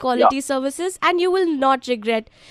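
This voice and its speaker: A woman talks at a moderate pace with lively intonation, the sound dry and close with no echo. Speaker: telecom customer care agent in the call. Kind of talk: customer care sales pitch. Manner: polite, repetitive, scripted.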